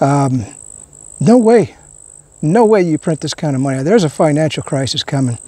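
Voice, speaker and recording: A man talks at a moderate pace in a dry recording with no echo. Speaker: vlogger. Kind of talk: casual vlog chat. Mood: concerned, earnest. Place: open country.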